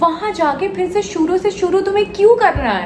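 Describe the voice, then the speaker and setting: A woman with a Bengali accent is heard with audible room echo and noticeable background noise. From West Bengal, India. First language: Bengali (speaking Hindi). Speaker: actress and vlogger. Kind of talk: personal vlog confession. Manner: hesitant, with fillers.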